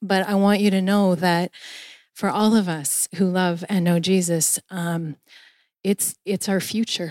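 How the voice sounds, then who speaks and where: An unremarkable speaking voice goes at a fairly slow pace. The sound is dry and close, with no echo. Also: woman. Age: 40s. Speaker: pastor. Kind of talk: sermon.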